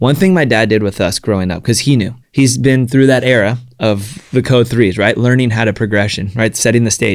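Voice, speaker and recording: A man with an American accent and a plain, everyday voice speaks at a fairly quick pace, medium in pitch with ordinary pitch variation, on a very clean recording with a silent background. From Southern California (San Diego). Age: 30s. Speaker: pro action sports athlete. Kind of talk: interview conversation.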